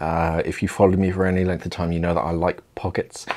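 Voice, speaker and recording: A man with a very deep, low pitch talks against a quiet background. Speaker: presenter. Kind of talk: Q&A commentary to camera. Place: studio.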